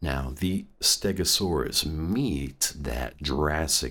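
Very deep and low in pitch, a man talks at a very slow pace with vocal fry. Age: 30s. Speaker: podcast host. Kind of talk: comedic monologue. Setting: studio.

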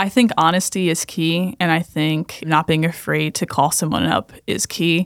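A woman speaks at a moderate pace in a plain, everyday voice, fairly low-pitched with fairly even intonation and hardly any pauses, in a dry, close sound with no echo. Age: 20s. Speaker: pastor. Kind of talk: casual chat.

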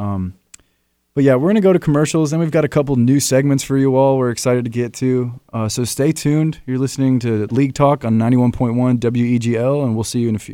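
In a very clean recording with a silent background, a man speaks fairly quickly with a dark, mellow tone. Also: medium pitch for a man, ordinary pitch variation. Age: 20s. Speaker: college radio host. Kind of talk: casual chat.

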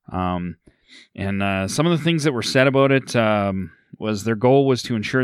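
With a Canadian Prairie accent, a man speaks at a moderate pace in a fairly low pitch with ordinary pitch variation, in a very clean recording with a silent background. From central Alberta, Canada. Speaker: podcast host. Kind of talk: casual chat.

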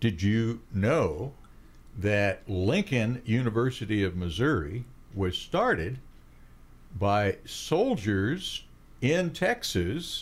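Speaking at a very slow pace with long, frequent pauses, a somewhat breathy man at medium pitch keeps a very even loudness while his pitch swings very widely. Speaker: radio host. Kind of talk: casual interview chat. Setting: studio.

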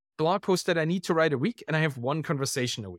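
With a German accent, a man talks at a fairly high pitch, the sound dry and close with no echo on a very clean recording over a silent background. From Germany. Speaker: writer and podcaster. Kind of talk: casual interview.

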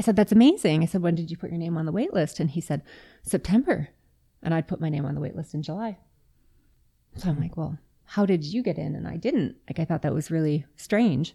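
A woman with a Canadian accent and a fairly low pitch talks at a fairly quick pace, somewhat breathy, with ordinary pitch variation. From Yellowknife, Northwest Territories, Canada. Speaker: interview guest, friend in recovery. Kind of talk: casual interview chat. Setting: studio with microphones.

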